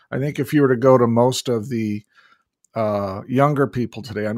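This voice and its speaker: Medium-pitched male voice at a fairly quick pace, ordinary pitch variation, very clean recording with a silent background. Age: 60s. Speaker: podcast host. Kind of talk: interview. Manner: halting, many fillers.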